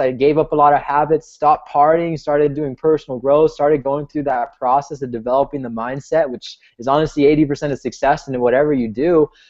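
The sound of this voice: This man's voice sits at a fairly high pitch. The tone is slightly mellow.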